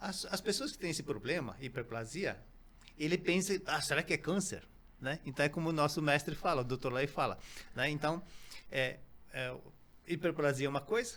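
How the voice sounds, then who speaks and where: A man with a fairly high pitch and ordinary pitch variation speaks. He keeps a moderate pace, with long, frequent pauses. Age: 60s. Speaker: company founder, natural health products. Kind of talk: interview podcast. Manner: halting, many fillers.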